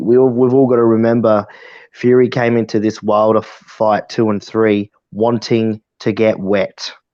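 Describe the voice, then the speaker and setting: At a medium pitch and moderate pace, a man talks in a monotone, flat intonation with very even loudness. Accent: Australian. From South Australia, Adelaide. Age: 20s. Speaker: amateur boxer. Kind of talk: casual chat.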